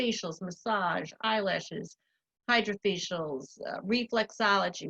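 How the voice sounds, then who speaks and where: A woman speaks with an American accent in an ordinary speaking voice. Her pitch is medium with ordinary variation, and the sound is dry and close with no echo. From Long Island, New York. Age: 60s. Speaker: spa owner. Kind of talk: interview.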